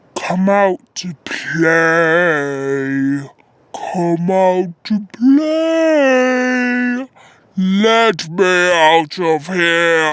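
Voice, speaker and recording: A female-sounding put-on character voice at a middle pitch, very slow, with long, frequent pauses. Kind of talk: made-up horror story narration. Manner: taunting, sing-song.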